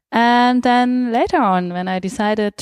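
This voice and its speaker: The sound is dry and close, with no echo. A woman speaks in a dark, mellow tone. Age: 30s. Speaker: open source program participant. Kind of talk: interview.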